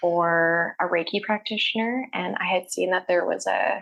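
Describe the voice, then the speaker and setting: A woman speaks with a Canadian prairie accent. Her voice sits at a medium pitch. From Canada, Saskatchewan (Saskatoon). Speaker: holistic healer, reflexologist and reiki practitioner. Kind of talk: casual interview chat. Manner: frequent fillers and self-repeats.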